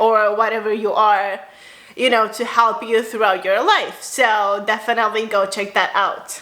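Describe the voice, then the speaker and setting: There is audible room echo around the speaker. She is a woman with a fairly high pitch. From Romania, then Spain from age 7-8. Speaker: spiritual lifestyle vlogger. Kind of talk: casual personal vlog. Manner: bubbly, upbeat.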